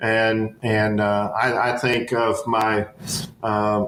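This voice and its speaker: With an American accent, a man talks at medium pitch against noticeable background noise. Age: 60s. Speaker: education professor. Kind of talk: interview. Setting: podcast. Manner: halting, many fillers.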